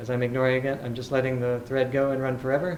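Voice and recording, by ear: Room echo is audible as a man talks fast at medium pitch. His intonation is monotone and flat.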